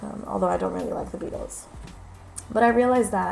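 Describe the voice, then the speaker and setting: A woman's voice over music in the background. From New York. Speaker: aspiring special education teacher. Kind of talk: casual talk to camera.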